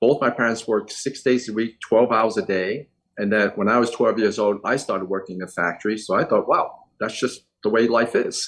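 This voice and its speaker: Speaking at a fairly quick pace in a New York accent, a man shows ordinary pitch variation. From New York City, Chinatown (emigrated from Hong Kong at five). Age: 60s. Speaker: eye surgeon. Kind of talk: interview.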